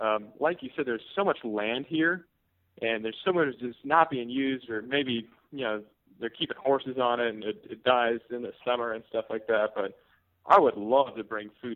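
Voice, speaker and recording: A man with an American accent and an ordinary speaking voice talks at medium pitch and a moderate pace, with ordinary pitch variation. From US Pacific Northwest, Seattle. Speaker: poultry farmer. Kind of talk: interview.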